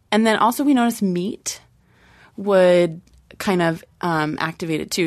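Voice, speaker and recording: A woman speaks in a plain, everyday voice at a moderate pace with ordinary pitch variation. The background is quiet. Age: 20s. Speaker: childbirth educator and doula. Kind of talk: casual panel discussion.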